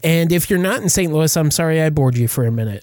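The recording is spotless, its background totally silent. Across it, a man's voice swings very widely in pitch. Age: 40s. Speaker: horror podcast host. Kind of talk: casual chat.

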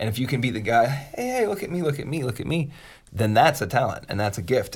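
A man talks at a fairly quick pace with lively intonation and a somewhat breathy quality. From US, Pittsburgh. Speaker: podcast co-host, music producer. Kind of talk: casual chat.

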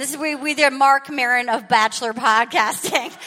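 Against noticeable background noise, a woman with a high pitch speaks in a raised, projected voice at a moderate pace, with ordinary pitch variation. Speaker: podcast host and stand-up comedian. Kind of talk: live comedy podcast banter. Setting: stage with audience. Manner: animated, rambling.

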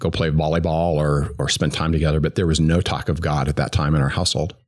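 A man's very deep, low voice in a General American accent, very fast and monotone with flat intonation, over noticeable background noise. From US, Greeley, Colorado. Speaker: former business executive and recovering alcoholic. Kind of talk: personal faith testimony. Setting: recorded in person at a church.

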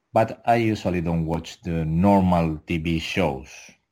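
A man's very deep, low voice with a dark, mellow tone and a Spanish accent, on a very clean recording with a silent background. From Canary Islands, Spain (Tenerife). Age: 30s. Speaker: adult film performer. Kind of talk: interview. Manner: halting, many fillers.

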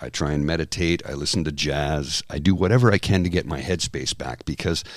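A man speaks with a Canadian accent and vocal fry. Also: very clean recording, silent background. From Canada. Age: 50s. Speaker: podcast co-host. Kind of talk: casual chat.

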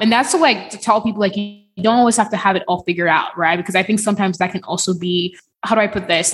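Somewhat breathy woman's voice with fairly even intonation at a very fast pace. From Nigeria. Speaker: cloud engineer and podcaster. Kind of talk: casual interview.

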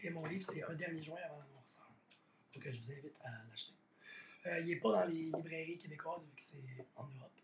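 With a Quebec accent, a man speaks at a fairly quick pace in a fairly high voice with ordinary pitch variation. His loudness swings widely, and he leaves long, frequent pauses. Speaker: podcast host. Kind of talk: casual chat.

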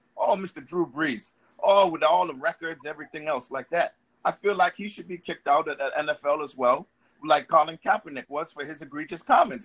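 A man's normal speaking voice. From Boston, Dorchester. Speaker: caller, retired army veteran. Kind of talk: casual chat.

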